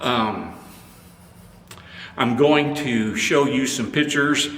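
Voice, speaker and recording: A man with a fairly high pitch speaks at a very slow pace with fairly even intonation. Audible room echo and noticeable background noise are present. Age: 70s. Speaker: photography YouTuber. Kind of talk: product review. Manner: halting.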